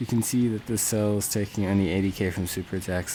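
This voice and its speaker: With music in the background, a man speaks at a fairly low pitch and with fairly even intonation. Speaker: gaming video creator. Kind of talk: game tutorial commentary. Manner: casual, filler-heavy; measured pace.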